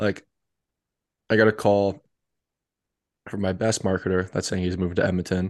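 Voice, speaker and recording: Over a quiet background, a man speaks at a fairly quick pace in a very deep, low voice. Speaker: podcast co-host. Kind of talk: casual chat.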